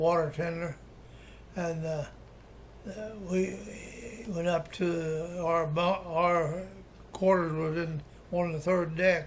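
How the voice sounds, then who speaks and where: A man with an American accent speaks at a very slow pace in a high pitch, his intonation flat and monotone, with long, frequent pauses and audible room echo. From Appalachia, West Virginia (Webster County). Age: 80s+. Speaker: war veteran. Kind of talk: oral history interview. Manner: halting, many restarts and fillers.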